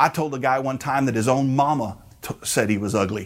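In an animated tone, a man speaks at a moderate pace with a medium pitch and ordinary pitch variation. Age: 40s. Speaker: pastor. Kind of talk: sermon.

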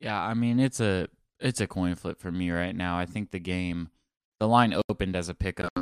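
A man's very deep, low voice at a fairly quick pace, with fairly even intonation, in a dry, close sound with no echo and a very clean recording with a silent background. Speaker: sports podcast host and beat reporter. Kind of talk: casual sports talk.

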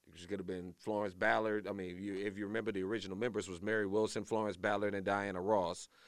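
A man's fairly low voice at a very fast pace, with big swings in loudness. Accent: American. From Louisiana. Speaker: morning show co-host. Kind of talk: casual chat. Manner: animated.

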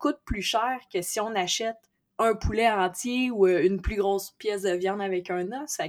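Speaking at a fairly slow pace, a woman has medium pitch, ordinary pitch variation and an unremarkable speaking voice. The recording is very clean, with a silent background. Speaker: entrepreneur, amateur boxer. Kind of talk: interview.

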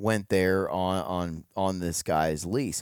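This man's voice comes across dry and close, without any echo. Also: very clean recording, silent background. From US Midwest (Ohio). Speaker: hunting podcaster. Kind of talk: casual chat. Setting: recorded at a hunting expo.

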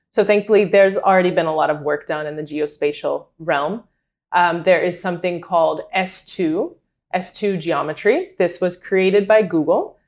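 Over a quiet background, a woman with an American accent uses a plain, everyday voice at a medium pitch and moderate pace, with ordinary pitch variation. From US South, North Carolina. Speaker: data analyst and adjunct professor. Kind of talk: interview. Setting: in person, host's apartment.

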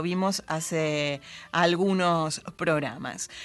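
A woman is speaking. The background is quiet. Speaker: radio host. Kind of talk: poetry reading, reading aloud on late-night radio. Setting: studio. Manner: measured, expressive, intimate poetic delivery.

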